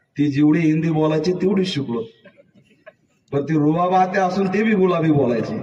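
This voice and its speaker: Audible room echo surrounds a man whose fairly high voice has ordinary pitch variation. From rural Maharashtra, India. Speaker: comedian. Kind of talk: stand-up.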